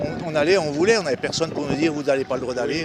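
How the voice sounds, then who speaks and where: A man talks at a very fast pace in a fairly high pitch, with ordinary pitch variation and noticeable background noise. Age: 60s. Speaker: retired protester at a street demonstration. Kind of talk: street interview. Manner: halting, many repetitions and hesitations.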